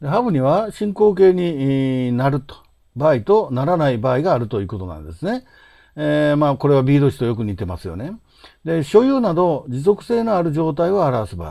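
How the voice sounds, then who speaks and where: A man speaks at a moderate pace in a dark, mellow tone, with very wide pitch swings and big swings in loudness. The background is quiet. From Japan. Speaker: English teaching author; English teacher. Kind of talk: lecture. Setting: home study. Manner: halting, many fillers. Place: home room. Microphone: webcam.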